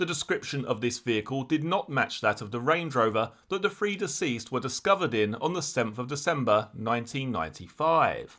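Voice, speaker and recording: A man speaks at a fairly quick pace with hardly any pauses and lively intonation. His voice has a medium pitch and a bright, sharp tone. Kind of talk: true crime narration.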